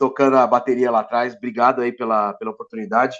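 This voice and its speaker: Over a quiet background, a man talks at a very fast pace with medium pitch and fairly even intonation. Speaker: IT entrepreneur. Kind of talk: webinar presentation. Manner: casual, with fillers and restarts.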